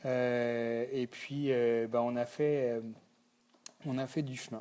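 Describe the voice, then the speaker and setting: Against a silent background in a very clean recording, a man with a Breton accent speaks very slowly, his dark, mellow tone kept to fairly even intonation. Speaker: company founder. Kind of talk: thank-you video message. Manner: halting, many fillers.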